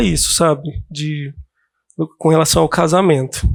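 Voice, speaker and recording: A man speaks very slowly at a high pitch. His pitch varies in an ordinary way. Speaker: counselee in a simulated counseling session. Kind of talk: role-play counseling session. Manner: calm, soft-spoken; hesitant, many fillers.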